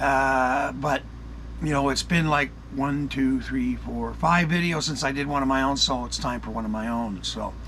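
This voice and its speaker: A man shouting in an American accent at a moderate pace, with audible room echo. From United States and Canada. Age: 60s. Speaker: YouTube channel host, UFO commentator. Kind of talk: casual monologue commentary. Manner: conversational, with many fillers and restarts.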